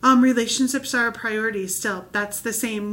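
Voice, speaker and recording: The woman's intonation is monotone and flat. Noticeable background noise runs underneath. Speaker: children's ministry leader. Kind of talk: training video. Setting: recorded video. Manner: fast.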